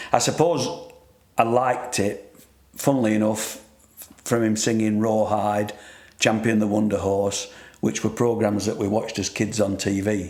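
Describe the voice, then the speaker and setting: With a Yorkshire accent, this voice moves at a moderate pace, its intonation fairly even. Long pauses come often, and room echo is audible. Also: man, fairly low pitch for a man. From northern England, Sheffield. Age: 60s. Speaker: radio co-host, retired engineer. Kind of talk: casual radio interview. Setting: radio studio. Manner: halting.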